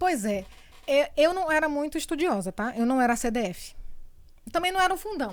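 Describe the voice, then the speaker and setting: In a Bahian accent, a woman speaks at a high pitch with very wide pitch swings and long, frequent pauses. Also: moderate pace. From Bahia, Brazil (born in São Paulo). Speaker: communicator and entrepreneur. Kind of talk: interview testimony.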